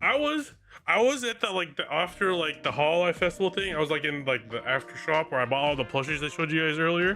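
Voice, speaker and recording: With music in the background, a man talks at a very fast pace using lively intonation. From US West Coast, Bay Area California. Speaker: VTuber streamer. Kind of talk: casual livestream chat. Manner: slurred, sounds drunk; halting with many fillers.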